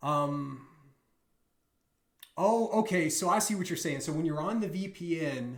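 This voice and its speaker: A man with an American accent and a high pitch speaks at a fairly slow pace with long, frequent pauses and ordinary pitch variation, and audible room echo is heard. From US South. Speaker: bug bounty hunter streamer. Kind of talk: live stream tutorial. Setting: live stream. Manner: casual, hesitant with fillers.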